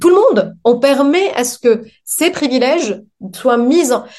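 High pitch and lively intonation in a woman's voice. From Lebanon. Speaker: neuropsychologist. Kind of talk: interview.

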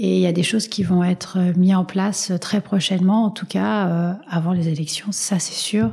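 Hardly pausing at all, a woman talks at a moderate pace with a medium pitch and ordinary pitch variation over noticeable background noise. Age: 40s. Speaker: patient advocacy association president. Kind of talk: interview. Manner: halting.

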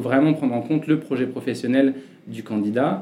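Fairly quick and medium-pitched, a man speaks in a normal speaking voice. His pitch varies in an ordinary way. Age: 30s. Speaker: CEO of a digital consulting agency. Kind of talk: interview.

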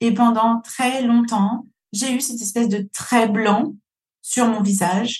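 With a fairly high pitch and ordinary pitch variation, a woman speaks at a fairly slow pace. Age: 40s. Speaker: podcast host, business coach. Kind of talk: solo podcast monologue.

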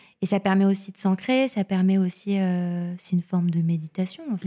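Somewhat breathy and dark, mellow in tone, a woman speaks at a medium pitch and moderate pace with fairly even intonation, in a dry, close sound with no echo on a very clean recording with a silent background. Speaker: journalist and podcaster. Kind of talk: casual interview.

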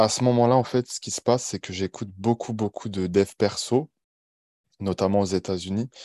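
Dry and close with no echo, a man's voice has a dark, mellow tone. He talks at a moderate pace with fairly even intonation. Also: quiet background. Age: 20s. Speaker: online coach. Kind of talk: interview podcast.

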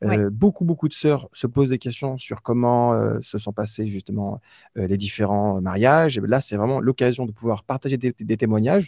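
A man talks at a moderate pace with a medium pitch and lively intonation. His tone is dark and mellow, and the sound is dry and close with no echo over a quiet background. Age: 30s. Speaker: regional manager and podcaster. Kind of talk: interview.

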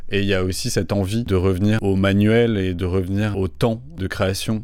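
A man with a plain, everyday voice speaks at a fairly low pitch and a moderate pace. His intonation is fairly even, with hardly any pauses. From Toulouse, southern France. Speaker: artist and designer. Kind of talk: interview.

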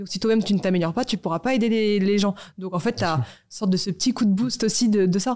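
In a dark, mellow voice of medium pitch, a woman talks very fast with ordinary pitch variation. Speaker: media founder. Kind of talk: casual interview.

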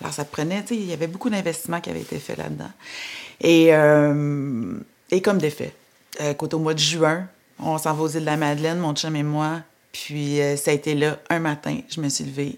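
In a Quebec accent, a woman speaks with a very deep, low pitch on a very clean recording with a silent background. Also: ordinary pitch variation, moderate pace. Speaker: entrepreneur. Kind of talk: testimony.

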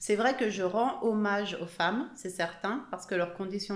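A woman speaks in a normal speaking voice at a medium pitch. Her pace is fairly slow. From Haute-Savoie, France (Evian). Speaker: author. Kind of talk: interview.

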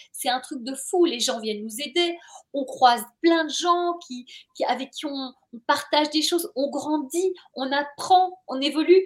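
Fairly slow and high-pitched, a woman speaks in an animated tone, with big swings in loudness and ordinary pitch variation. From Belgium, Brussels. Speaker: journalist and author. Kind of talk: interview.

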